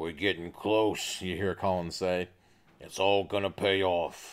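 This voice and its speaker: In a put-on character voice, a man speaks at a fairly slow pace, very deep and gravelly, with monotone, flat intonation on a very clean recording with a silent background. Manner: cheerful.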